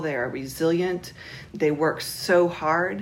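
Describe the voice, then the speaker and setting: A woman with an American accent and a very deep, low pitch, fairly even intonation, and noticeable background noise. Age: 40s. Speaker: interviewee, Trump voter. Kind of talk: interview answers.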